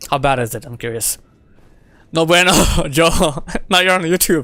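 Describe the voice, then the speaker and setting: Speech with ordinary pitch variation is heard with music in the background. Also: man. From Bangladesh. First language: Bengali. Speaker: gaming streamer. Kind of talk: live gameplay stream chat. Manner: casual, frequent fillers.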